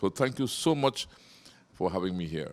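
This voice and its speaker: Recorded very cleanly against a silent background, a man speaks at a moderate pace with a very deep, low pitch and very wide pitch swings. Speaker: TV show host interviewing villagers. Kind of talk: casual interview. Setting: interviewee's home.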